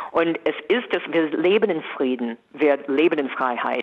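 With an American accent, a woman speaks at a fairly slow pace in a very deep, low pitch. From USA. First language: English (speaking German). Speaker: entertainer. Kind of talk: radio interview. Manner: animated.

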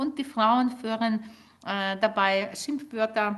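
Speaking at a very slow pace with an Ukrainian accent, a woman has a high pitch and ordinary pitch variation. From Ukraine. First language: Ukrainian (speaking German). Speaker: linguist and author. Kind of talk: interview. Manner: hesitant, many filler sounds.

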